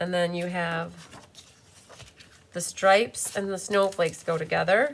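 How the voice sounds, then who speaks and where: With noticeable background noise behind her, a woman talks at a fairly low pitch and a fairly slow pace with ordinary pitch variation. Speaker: card-making demonstrator. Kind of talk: live craft tutorial. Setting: YouTube live stream. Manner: animated.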